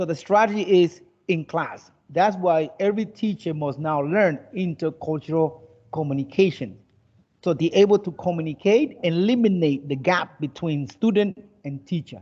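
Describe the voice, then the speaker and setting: A high-pitched man with a dark, mellow tone speaks at a moderate pace with ordinary pitch variation. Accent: American. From United States. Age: 50s. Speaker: English teacher. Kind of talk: online class lecture.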